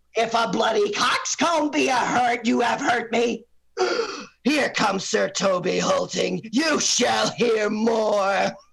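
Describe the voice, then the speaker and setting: In a put-on character voice pitched extremely high, a man speaks at a fairly slow pace with ordinary pitch variation and very even loudness. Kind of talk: Shakespearean stage acting. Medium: stage play.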